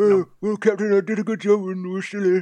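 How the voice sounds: Putting on a character voice, a man talks at a high pitch and a fairly quick pace in a flat, monotone intonation.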